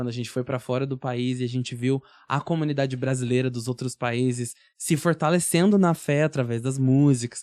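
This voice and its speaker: A man's voice at a moderate pace, with fairly even intonation and a dry, close sound with no echo. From Curitiba, southern Brazil. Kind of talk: casual chat.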